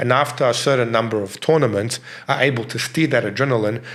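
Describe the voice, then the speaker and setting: A man talks very fast with a non-native accent. His pitch is medium with ordinary pitch variation. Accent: sounds like a learned-English speaker. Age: 50s. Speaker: martial arts instructor. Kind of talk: interview. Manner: halting, repeats words.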